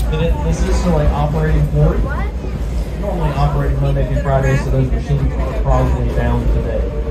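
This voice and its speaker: A man at a very fast pace with loud background noise. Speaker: train conductor. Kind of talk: PA announcement. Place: train.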